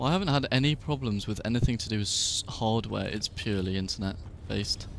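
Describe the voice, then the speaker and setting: Talking at a very fast pace, a man with a British accent uses a fairly low pitch and ordinary pitch variation. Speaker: gaming streamer. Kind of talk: casual chat. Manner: quiet.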